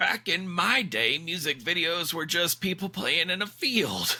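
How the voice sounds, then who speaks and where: A man performs a put-on character voice. His pitch sits high. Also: moderate pace. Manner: grumbling, nostalgic.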